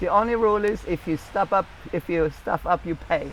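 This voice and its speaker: The speaker goes at a moderate pace. The accent is German. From Germany. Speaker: cookbook author and channel host. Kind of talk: casual chat. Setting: outdoors on a beach.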